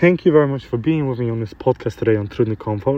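This is a man speaking. His pitch is medium. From grew up in London, UK (Polish family). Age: 20s. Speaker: motivational podcaster. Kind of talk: motivational monologue. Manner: halting.

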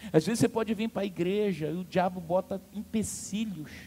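A dark, mellow tone at a moderate pace, with normal pitch variation. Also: man. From Amazonas, Brazil. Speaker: pastor. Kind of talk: sermon. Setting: church. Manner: animated.

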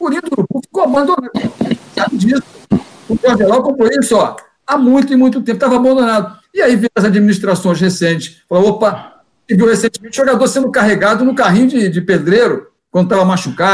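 At a very fast pace, a man speaks in an extremely high pitch with ordinary pitch variation and very even loudness. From Brazil, Rio de Janeiro. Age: 60s. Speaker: sports journalist. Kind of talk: live panel debate.

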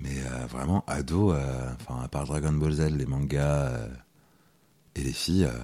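A man talks at a very slow pace with long, frequent pauses and a very deep, low pitch. His pitch varies in an ordinary way over noticeable background noise. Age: 30s. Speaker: school supervisor and masseur. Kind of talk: casual interview.

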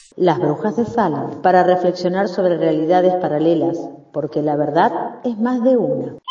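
Noticeable background noise sits behind a woman's fairly low-pitched voice. She speaks at a moderate pace with ordinary pitch variation. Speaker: podcast co-host. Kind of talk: casual chat.

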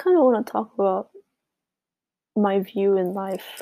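A woman speaks quietly and fairly slowly at a medium pitch, in a dark, mellow tone. The sound is dry and close, with no echo. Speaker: podcaster. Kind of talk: casual chat. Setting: bedroom at home.

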